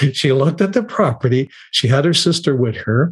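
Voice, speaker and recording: Somewhat breathy speech in an Irish accent. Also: man. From Ireland. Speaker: motivational speaker and event presenter. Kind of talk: podcast interview. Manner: talkative.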